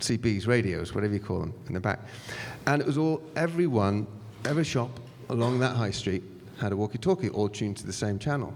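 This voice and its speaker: A man with a British accent, medium pitch, lively intonation and a fairly quick pace. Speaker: fintech panelist. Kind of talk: panel discussion. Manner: halting, many fillers and restarts.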